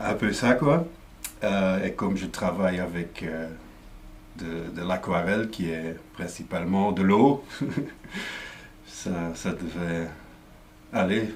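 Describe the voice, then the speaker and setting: In a Flemish accent, a man with a very deep, low pitch and ordinary pitch variation speaks at a very slow pace with long, frequent pauses and audible room echo. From Flanders, Belgium. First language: Dutch (speaking French). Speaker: comic book artist. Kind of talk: explanatory talk. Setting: studio. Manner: halting, many fillers and repetitions.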